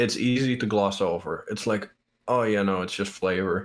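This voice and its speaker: This man speaks in a Dutch accent. His pitch shows ordinary variation. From Netherlands. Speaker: podcast guest. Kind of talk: casual chat. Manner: halting.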